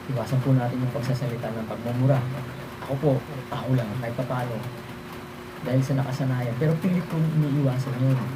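A man at medium pitch, very fast pace and fairly even intonation, with long, frequent pauses, noticeable background noise and audible room echo. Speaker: folk healer and amulet practitioner. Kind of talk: religious talk on protection against witchcraft. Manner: halting, many fillers.

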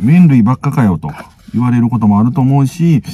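A man talks very fast, his pitch swinging very widely. The sound is dry with no echo, over light background noise. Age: middle-aged. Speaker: food vlogger. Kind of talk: casual talk to camera. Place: car. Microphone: phone near.

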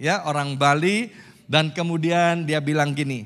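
Over a quiet background, the man's fairly slow speech shows ordinary pitch variation. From Indonesia. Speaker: pastor. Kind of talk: sermon. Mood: warm, joking at times. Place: church. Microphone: handheld.

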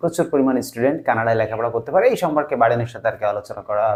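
At medium pitch, a man speaks in an ordinary speaking voice. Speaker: YouTube news commentator. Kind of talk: informal news commentary.

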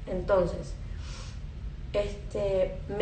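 With a Puerto Rican accent, a woman speaks at a very slow pace amid light background noise and audible room echo. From Puerto Rico. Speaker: spiritual content creator. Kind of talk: live stream monologue. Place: home room. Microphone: phone near.

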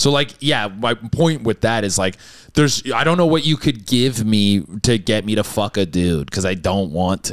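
On a very clean recording with a silent background, a man speaks at a moderate pace. His pitch is fairly low and his intonation lively. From Canada. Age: 30s. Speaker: comedian. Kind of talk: casual chat.

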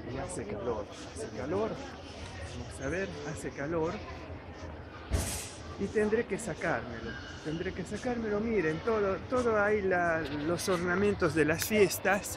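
A man speaking fairly slowly, long and frequent pauses, noticeable background noise. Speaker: vlogger. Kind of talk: casual vlog chat. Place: shop. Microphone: phone near.

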